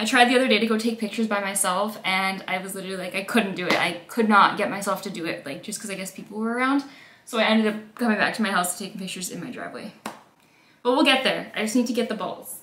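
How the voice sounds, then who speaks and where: A woman talks at a very fast pace with ordinary pitch variation and big swings in loudness. Audible room echo and light background noise are present. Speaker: lifestyle vlogger. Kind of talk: casual vlog chat. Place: home room. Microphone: phone near.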